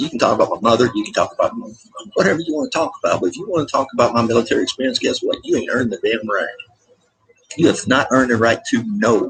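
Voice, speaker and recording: Over background music, a man with an American accent talks at a very fast pace. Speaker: military veteran vlogger. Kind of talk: casual rant vlog. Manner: animated.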